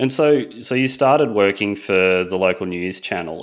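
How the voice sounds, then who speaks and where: This man has a very deep, low pitch. He speaks with an Australian accent. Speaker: podcast host. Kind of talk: casual interview.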